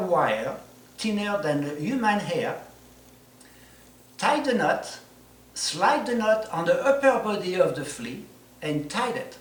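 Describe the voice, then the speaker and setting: A man speaks in a high voice at a fairly slow pace with lively intonation, over noticeable background noise. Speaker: flea circus showman. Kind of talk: instructional presentation to camera.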